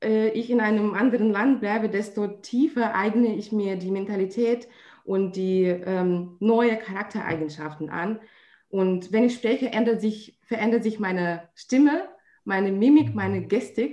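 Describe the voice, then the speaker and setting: This woman speaks in a Russian accent at a very slow pace. Her pitch is fairly high, with ordinary variation. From Russia, St. Petersburg. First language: Russian (speaking German). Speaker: trade fair organizer. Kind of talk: interview. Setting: remote call. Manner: hesitant, many fillers.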